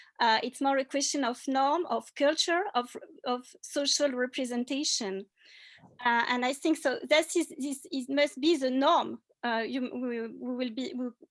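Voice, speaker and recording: A woman talks fairly slowly at a high pitch, her pitch varying in an ordinary way. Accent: French. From France. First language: French. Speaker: cultural anthropologist. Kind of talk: panel discussion. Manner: halting.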